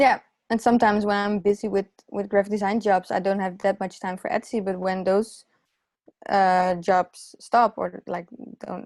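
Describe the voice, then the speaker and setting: Heard on a very clean recording with a silent background, the voice stays monotone, with flat intonation. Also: woman, medium pitch for a woman, moderate pace. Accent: non-native. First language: not English. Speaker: illustrator and graphic designer. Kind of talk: podcast interview. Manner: hesitant, many fillers and restarts.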